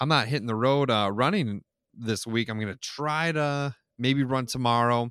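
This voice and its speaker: Delivered at a moderate pace, the voice has a dry, close sound with no echo. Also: man, medium pitch for a man, ordinary pitch variation, very clean recording, silent background. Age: 20s. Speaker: podcast co-host documenting weight loss. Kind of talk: casual chat. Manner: hesitant, many fillers.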